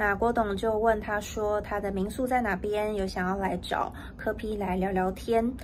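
A woman's flat, monotone delivery with hardly any pauses, over light background noise. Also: moderate pace. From Taiwan. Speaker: news reporter. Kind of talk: news report. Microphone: phone near.

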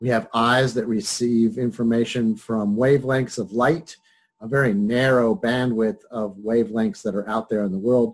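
Speech comes at a moderate pace over a quiet background. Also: man. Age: 60s. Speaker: psychology professor. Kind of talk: lecture. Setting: video call. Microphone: webcam.

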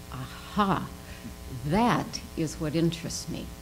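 A woman's fairly low voice with ordinary pitch variation over light background noise. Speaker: international development consultant; panelist. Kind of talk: panel discussion. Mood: reflective, personal story. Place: hall. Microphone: podium.

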